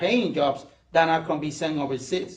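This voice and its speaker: A man with a Puerto Rican accent speaks at a moderate pace with ordinary pitch variation. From Puerto Rico. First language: Spanish. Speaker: political candidate. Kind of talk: campaign speech. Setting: candidates forum with audience.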